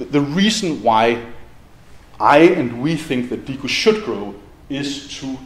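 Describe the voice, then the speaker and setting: A man speaks with a Danish accent amid light background noise and audible room echo. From Denmark. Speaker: university department head. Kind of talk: welcome speech. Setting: stage with audience. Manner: casual and humorous, frequent laughs and filler words. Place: hall.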